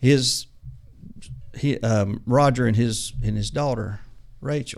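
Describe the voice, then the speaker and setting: Delivered at a moderate pace with fairly even intonation, the speech carries a Southern US accent. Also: man. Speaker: auto mechanic turned ministry mechanical trainer.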